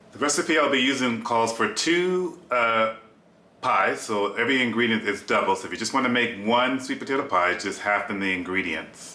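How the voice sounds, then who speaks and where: Lively intonation from a medium-pitched man at a moderate pace, with noticeable background noise. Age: 50s. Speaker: cooking vlogger, flight attendant. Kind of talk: cooking tutorial. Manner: casual, chatty.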